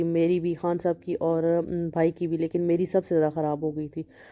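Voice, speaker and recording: A woman speaks at a moderate pace with a fairly low pitch and a dark, mellow tone. Her intonation is monotone and flat, with a dry, close sound and no echo. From Pakistan. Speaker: family vlogger. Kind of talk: vlog voiceover narration. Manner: casual with fillers.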